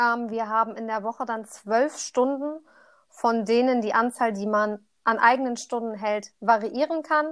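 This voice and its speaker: A woman's ordinary speaking voice, fairly high in pitch with ordinary pitch variation, at a fairly slow pace against a quiet background. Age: 20s. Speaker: trainee primary teacher. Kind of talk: casual chat.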